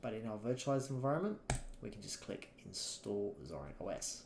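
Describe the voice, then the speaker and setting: Talking at a fairly quick pace, a man with an Australian accent has a dark, mellow tone and a medium pitch. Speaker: software instructor. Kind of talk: tutorial. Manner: casual, conversational.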